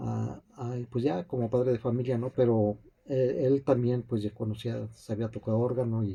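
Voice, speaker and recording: At a very slow pace, a man with a medium pitch and a dark, mellow tone speaks somewhat breathily, his intonation fairly even. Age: 60s. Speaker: piano teacher. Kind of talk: interview. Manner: halting, many fillers and repetitions.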